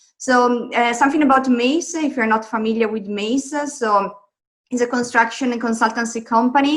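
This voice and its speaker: A woman's high-pitched voice with an Italian accent, fairly even intonation and a moderate pace. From Italy. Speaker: construction technology advisor. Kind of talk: conference presentation.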